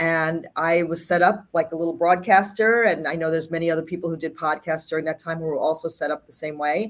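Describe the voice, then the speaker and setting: A woman with an American accent talks very fast with hardly any pauses, her fairly low voice keeping fairly even intonation. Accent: New York, toned down. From New York. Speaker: health communications executive. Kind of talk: casual interview.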